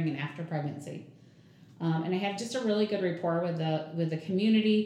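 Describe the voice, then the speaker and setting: A fairly low-pitched woman with an American accent, fairly quick, with audible room echo and noticeable background noise. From southern Michigan, US. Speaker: chamber of commerce president. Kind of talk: casual interview.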